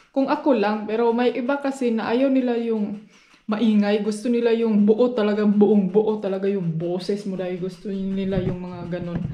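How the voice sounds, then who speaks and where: Soft-spoken and dark, mellow in tone, a woman talks at a fairly high pitch with ordinary pitch variation amid audible room echo. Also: moderate pace. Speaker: vlogger, housewife. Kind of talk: casual vlog chat. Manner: quiet, soft voice. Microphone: no external microphone, voice comes out quiet.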